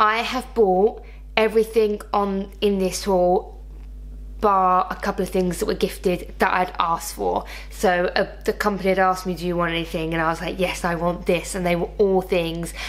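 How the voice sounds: A woman speaks with little pitch movement. There is clear background noise.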